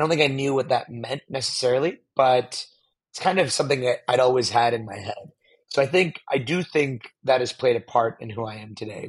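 Fairly quick, somewhat breathy speech from a man with a General American accent and medium pitch, with ordinary pitch variation and big swings in loudness. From US, Pittsburgh, Pennsylvania. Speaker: venture capital investor. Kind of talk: interview conversation.

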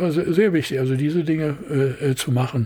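Somewhat breathy and dark, mellow in tone, a man with a fairly high pitch talks at a moderate pace with lively intonation. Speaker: production designer. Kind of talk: interview. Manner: halting.

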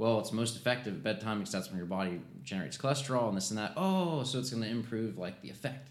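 A man with an unremarkable speaking voice, fairly low in pitch, with lively intonation. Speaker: pharmacist. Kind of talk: casual chat.

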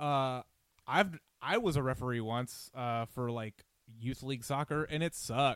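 A man with a normal speaking voice and an American accent talks at medium pitch and a moderate pace with ordinary pitch variation. The sound is dry and close with no echo, in a very clean recording with a silent background. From US South, suburbs of Atlanta, Georgia. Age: 30s. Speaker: sports podcast host. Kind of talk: casual chat.

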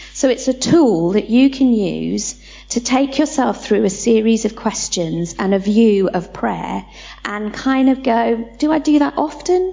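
A woman with a British accent speaks at a fairly slow pace in a fairly high pitch, over noticeable background noise. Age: 40s. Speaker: church leader. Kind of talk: church teaching session.

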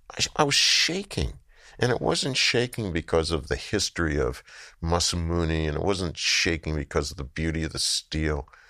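The tone is bright and sharp, with vocal fry. The pace is moderate. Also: man, very deep, low pitch for a man, ordinary pitch variation. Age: 70s. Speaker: artist. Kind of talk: interview. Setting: studio. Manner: long, storytelling answers.

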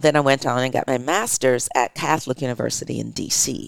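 Vocal fry marks a woman's very deep, low pitch, heard in a dry, close sound with no echo. Her tone is animated, with ordinary pitch variation. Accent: American. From Detroit, Michigan. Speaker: theater artistic director and actor. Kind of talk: interview.

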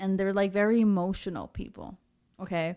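A woman's normal speaking voice at medium pitch, with ordinary pitch variation and a very clean recording over a silent background. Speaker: podcast co-host. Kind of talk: casual chat.

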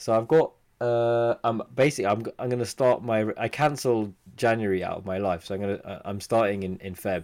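Here is a man with an ordinary speaking voice at a medium pitch. He talks at a fairly quick pace with ordinary pitch variation. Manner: joking, playful.

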